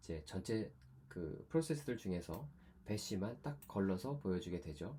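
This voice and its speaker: This man's voice sits fairly low, with a dark, mellow tone and a somewhat breathy quality. His pitch swings very widely. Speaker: university lecturer. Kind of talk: lecture.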